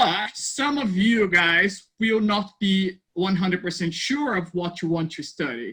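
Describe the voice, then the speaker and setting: Raising and projecting his high voice, a man with a Portuguese accent talks at a fairly slow pace with hardly any pauses, a bright, sharp tone, and lively intonation. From Brazil. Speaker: university placement advisor. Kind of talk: informational presentation. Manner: friendly, hesitant with fillers.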